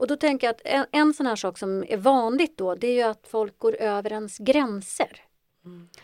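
On a very clean recording with a silent background and a dry, close sound with no echo, a woman talks in an unremarkable speaking voice at a moderate pace, with a fairly high pitch and ordinary pitch variation. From Ethiopia (adopted to Sweden). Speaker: psychologist. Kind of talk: interview.

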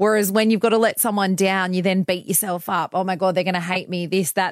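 A woman with an Australian accent talks at a very fast pace. Her pitch is medium and her intonation fairly even. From country New South Wales, Australia. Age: 30s. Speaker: breakfast radio host. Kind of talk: casual interview chat.

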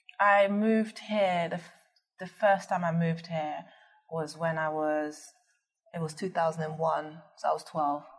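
A woman with a fairly low, somewhat breathy voice, fairly even intonation and a fairly slow pace. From Netherlands. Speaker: business founder. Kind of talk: interview.

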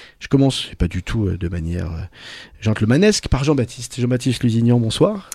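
Speaking at a fairly quick pace, a man with a medium-pitched, dark, mellow and somewhat breathy voice uses lively intonation and big swings in loudness. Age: 40s. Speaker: radio host. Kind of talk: casual chat.

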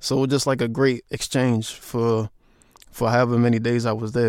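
A man with an unremarkable speaking voice and an American accent speaks at a medium pitch and a fairly quick pace, with ordinary pitch variation, on a very clean recording with a silent background. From US, Baltimore. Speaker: music journalist. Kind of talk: interview.

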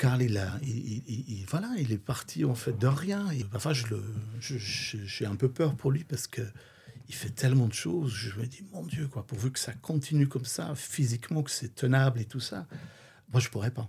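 A man speaks at medium pitch in a dark, mellow, somewhat breathy tone with lively intonation. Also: moderate pace. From Flanders, Belgium. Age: 50s. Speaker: drag queen and DJ. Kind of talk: casual interview.

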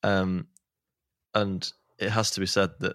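A man with a Manchester accent speaks in a playful tone, his pitch very deep and low, the sound dry and close with no echo. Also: very clean recording, silent background. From Manchester, England. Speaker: podcast host. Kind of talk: casual chat. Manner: joking, playful.

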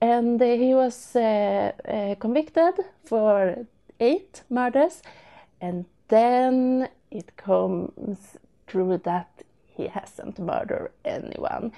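At a very slow pace, a woman with a Swedish accent speaks in a dark, mellow tone. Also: fairly high pitch for a woman, lively intonation, big swings in loudness. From Sweden. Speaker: listener. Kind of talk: recorded voice message. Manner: halting.

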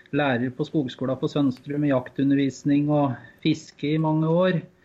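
With a plain, everyday voice, a man speaks at a fairly slow pace in a fairly high pitch with fairly even intonation. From eastern Norway, Finnskogen. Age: 30s. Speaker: hunting association chairman. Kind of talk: interview.

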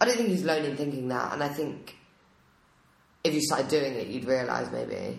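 A woman's very deep, low voice with vocal fry and lively intonation, a fairly quick pace, and long, frequent pauses. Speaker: podcast co-host. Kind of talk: casual chat.

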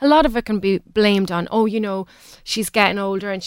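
This woman has an Irish accent. Her pitch sits in the medium range. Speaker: women's sport and health advocate. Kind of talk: radio interview. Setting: radio studio. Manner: fast; animated.

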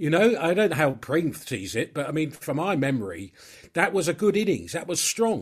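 A man with vocal fry speaks at a fairly high pitch and a moderate pace, his pitch swinging very widely. The recording is very clean, with a silent background. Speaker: author and journalist. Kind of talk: casual chat.

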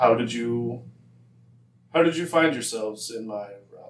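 A man's put-on character voice at a medium pitch and moderate pace. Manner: mysterious, commanding.

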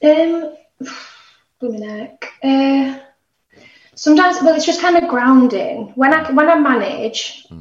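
A woman with a Yorkshire accent, high in pitch with ordinary pitch variation, at a very slow pace with big swings in loudness and long, frequent pauses. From northern England, Barnsley (South Yorkshire). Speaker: singer-songwriter. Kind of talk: casual chat.

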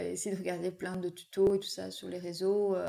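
A woman in a dark, mellow tone at a fairly slow pace. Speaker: wedding photographer. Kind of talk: casual interview. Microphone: sound problem during recording.

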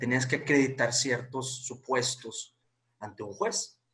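A bright, sharp tone marks a man's voice. He talks fairly slowly. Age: 20s. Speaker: lawyer. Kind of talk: interview.

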